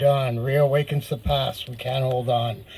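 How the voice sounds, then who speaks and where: The voice is somewhat breathy, with fairly even intonation. The pace is moderate. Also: man. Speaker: poet. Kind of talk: poetry reading.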